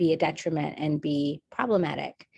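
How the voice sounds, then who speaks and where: With an American accent, a woman speaks at a fairly slow pace, the sound dry and close with no echo. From India and United States. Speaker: state legislator and engineer. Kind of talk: panel discussion.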